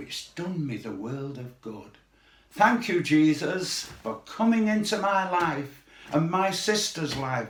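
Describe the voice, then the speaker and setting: Through noticeable background noise, a man's voice shows very wide pitch swings and big swings in loudness. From Manchester, northern England. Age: 80s+. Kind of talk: testimony.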